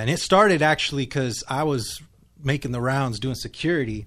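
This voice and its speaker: Here is a man with a plain, everyday voice and an American accent. His pitch is medium and his pace moderate. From California. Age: 40s. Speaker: musician and songwriter. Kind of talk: casual chat. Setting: studio.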